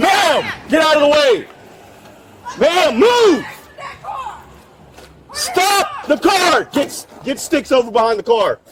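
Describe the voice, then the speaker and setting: Speaking very slowly with long, frequent pauses, a man uses an extremely high voice whose pitch swings very widely, with noticeable background noise behind him. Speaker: police officer. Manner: shouted commands.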